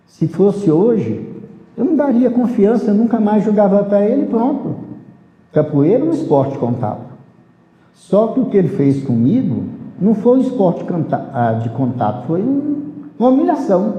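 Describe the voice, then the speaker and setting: With audible room echo and noticeable background noise, a man at a high pitch speaks at a moderate pace, his pitch swinging very widely between long, frequent pauses. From rural Brazil. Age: 70s. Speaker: capoeira master. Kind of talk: life story interview.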